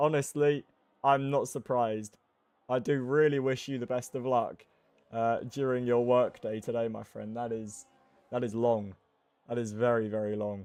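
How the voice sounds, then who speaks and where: With music in the background, a man of medium pitch speaks at a moderate pace, his intonation fairly even, broken by long, frequent pauses. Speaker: sim racing league commentator. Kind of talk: live commentary.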